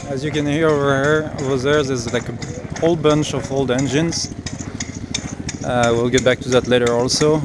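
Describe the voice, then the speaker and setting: Through noticeable background noise and audible room echo, a man with a French accent speaks at a fairly high pitch. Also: moderate pace. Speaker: car enthusiast vlogger. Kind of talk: casual walkaround video report. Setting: outdoors at a car show. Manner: casual, hesitant with fillers.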